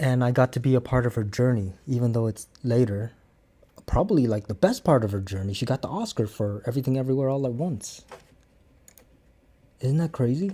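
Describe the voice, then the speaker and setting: A man's somewhat breathy voice at a fairly quick pace, with ordinary pitch variation and long, frequent pauses. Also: medium pitch for a man. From Cambodian background, English learned by age nine. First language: Khmer. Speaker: martial arts instructor and vlogger. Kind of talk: casual vlog talk to camera. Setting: talking to a camera. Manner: halting, with many fillers.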